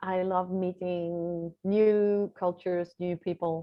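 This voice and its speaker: A woman with a Dutch accent speaks at a very slow pace. Her medium pitch stays monotone, with flat intonation. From Netherlands. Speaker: visibility strategist and author. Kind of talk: interview.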